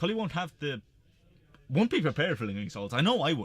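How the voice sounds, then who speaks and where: A man speaks with pitch that swings very widely up and down. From Ireland, rural Tipperary (Templemore). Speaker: card game stream commentator. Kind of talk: live game commentary.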